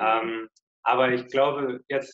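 Medium in pitch, the voice belongs to a man. Intonation stays monotone and flat throughout. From southwest Germany, Lörrach. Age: 20s. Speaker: long-term hitchhiking traveller. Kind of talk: interview. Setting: video call.

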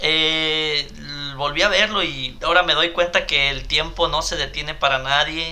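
The speaker has a Mexican accent, and there is noticeable background noise. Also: man. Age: 30s. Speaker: podcast co-host. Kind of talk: casual chat.

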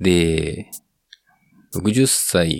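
The speaker's intonation is lively. The audio is dry and close, with no echo. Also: man. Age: 30s. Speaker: podcaster with heart disease. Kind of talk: solo monologue. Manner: halting.

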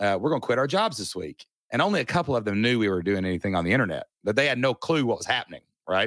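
A man talks at a very fast pace in an energetic tone with very wide pitch swings. The recording is very clean, with a silent background. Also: medium pitch for a man, dry, close sound with no echo. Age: 40s. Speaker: online business coach. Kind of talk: podcast interview.

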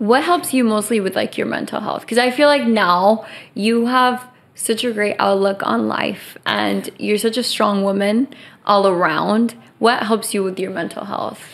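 In a normal speaking voice, the speaker talks at a moderate pace with ordinary pitch variation. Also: woman, fairly high pitch for a woman. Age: 20s. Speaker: podcast host. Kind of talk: casual chat.

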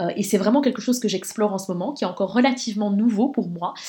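Background noise is noticeable. The pitch varies in an ordinary way. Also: woman. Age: 30s. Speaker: podcast host and women's coach. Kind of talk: personal monologue. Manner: hesitant with repetitions.

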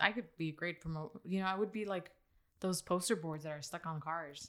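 At a moderate pace, a woman uses a plain, everyday voice with a fairly low pitch and ordinary pitch variation. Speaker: podcast host. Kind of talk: casual chat.

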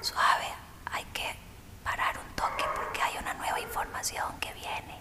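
A woman whispering in a warm tone at a fairly slow pace, with noticeable background noise. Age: 40s. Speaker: yoga and meditation teacher. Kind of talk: interview. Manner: warm, effusive.

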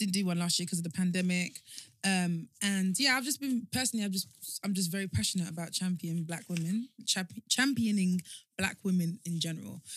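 A woman speaks at a medium pitch, and her voice is somewhat breathy. Her pitch varies in an ordinary way. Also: fairly quick pace. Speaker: guest, founder of a women's network. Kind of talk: casual chat.

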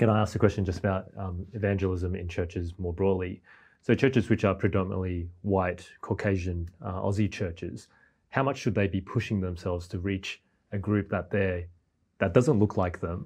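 A man with an Australian accent speaks in a very deep, low, somewhat breathy voice against a quiet background. His pace is moderate and his intonation fairly even. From Australia, born in Malaysia, came aged three. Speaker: church minister. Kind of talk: panel discussion.

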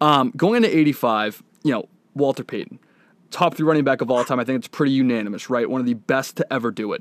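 A man speaks with an American accent at a fairly quick pace. It is an ordinary speaking voice. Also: medium pitch for a man, ordinary pitch variation, very clean recording, silent background. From Boston. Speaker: podcast host. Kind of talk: interview.

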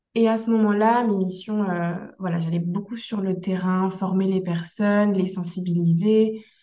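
Her intonation monotone and flat, a woman of medium pitch speaks at a fairly slow pace. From Brittany, France. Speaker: instructional designer, entrepreneur. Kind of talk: interview, personal story.

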